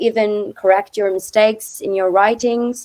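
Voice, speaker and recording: Speaking at a fairly slow pace with a Turkish accent, a woman keeps a medium pitch and fairly even intonation. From Turkey. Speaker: former student. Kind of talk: webinar talk. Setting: online webinar. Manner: hesitant, many fillers.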